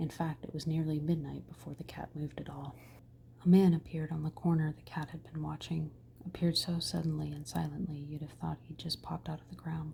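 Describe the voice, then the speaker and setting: Whispering and soft-spoken, the speaker moves at a fairly quick pace. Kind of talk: ASMR bedtime story reading. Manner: whispered, soft-spoken.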